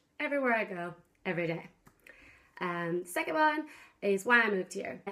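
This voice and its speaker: With an American accent and a bright, sharp tone, the speaker goes at a fairly quick pace through very wide pitch swings. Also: woman, medium pitch for a woman. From US Pacific Northwest, Seattle. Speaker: vlogger. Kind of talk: casual vlog talk to camera. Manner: bubbly, loud.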